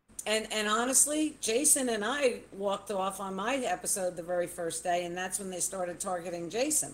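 An ordinary speaking voice from a woman at medium pitch, with lively intonation, a moderate pace and hardly any pauses. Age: 60s. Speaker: former reality show contestant. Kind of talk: casual chat.

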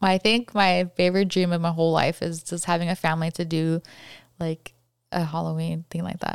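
Animated and at a fairly quick pace, a woman with an American accent speaks at a fairly low pitch in a dry, close sound with no echo, on a very clean recording with a silent background. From California. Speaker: podcast guest and coworker. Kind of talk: casual interview chat. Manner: fast talker, mumbles; animated, laughs often.

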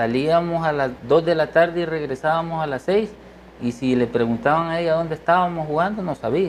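In a plain, everyday voice, a man with a fairly high pitch talks at a fairly quick pace. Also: ordinary pitch variation. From eastern El Salvador. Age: 50s. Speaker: musician and doctor. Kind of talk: interview.

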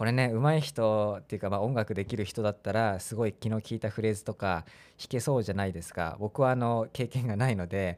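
A man talks at a very fast pace with a fairly low pitch. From Chiba, eastern Japan. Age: 30s. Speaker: podcaster. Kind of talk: casual solo podcast talk. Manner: casual, with many fillers.

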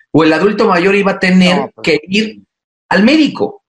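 A man talks fairly quickly. Ordinary pitch variation colors his speech. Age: 30s. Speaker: mayor. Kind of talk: interview. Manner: halting.

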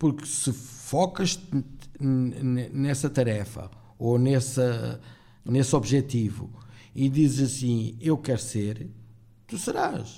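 A man speaks at a medium pitch with ordinary pitch variation and a dark, mellow tone that is somewhat breathy. His pace is very slow, with long, frequent pauses. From Portugal (born in Angola, arrived at about eight). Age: 50s. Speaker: podcast guest, former café owner. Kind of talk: casual chat.

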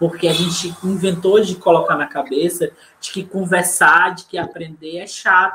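Speaking at a fairly slow pace, a man with a high voice keeps fairly even intonation but shows big swings in loudness. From Fortaleza, Ceará, northeast Brazil. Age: 30s. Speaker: poet and community librarian. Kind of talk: online panel discussion.

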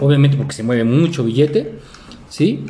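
A man speaks with a Mexican accent at a fairly high pitch and ordinary pitch variation. Noticeable background noise is present. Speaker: podcast co-host. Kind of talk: casual chat.

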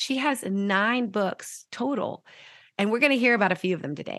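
With a warm, enthusiastic tone and an American accent, a woman speaks at a moderate pace with ordinary pitch variation, recorded dry and close with no echo over a quiet background. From Jupiter, Florida. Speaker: podcast host. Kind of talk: casual interview chat.

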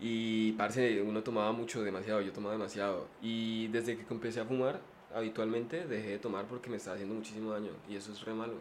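Very fast, monotone delivery with flat intonation, audible room echo and noticeable background noise. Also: man, medium pitch for a man. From Colombia, Popayán (Cauca). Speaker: podcaster. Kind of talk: casual chat. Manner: soft-spoken.

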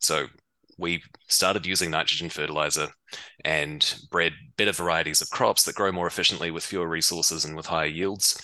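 Speaking fast with a New Zealand accent, a man has a very deep, low pitch, a bright, sharp tone and monotone, flat intonation. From New Zealand, Waikato. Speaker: biotech startup founder and scientist. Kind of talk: interview.

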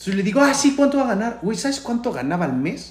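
Lively intonation from a man, with audible room echo. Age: 30s. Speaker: radio announcer. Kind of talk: casual chat.

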